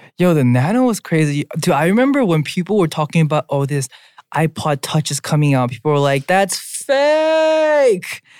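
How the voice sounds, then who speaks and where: The recording is very clean, with a silent background. Words arrive at a moderate pace. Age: 20s. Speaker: podcast co-host. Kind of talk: casual chat.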